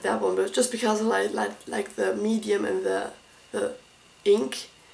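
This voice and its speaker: In a room with audible echo and noticeable background noise, a woman speaks with a German accent. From Germany. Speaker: art school applicant. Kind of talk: casual tutorial walkthrough. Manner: halting.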